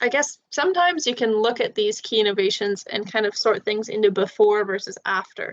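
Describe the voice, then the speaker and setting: A woman with an ordinary speaking voice talks at a moderate pace and fairly high pitch, with ordinary pitch variation and a dry, close sound with no echo. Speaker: peer tutor leading a biology review session. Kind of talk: tutoring session. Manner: casual with many fillers.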